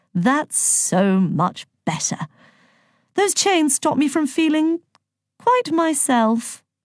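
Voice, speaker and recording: A woman puts on a drawling character voice at a high pitch with very wide pitch swings. She speaks very slowly with long, frequent pauses against a quiet background. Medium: read story. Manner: drawling, mock-polite.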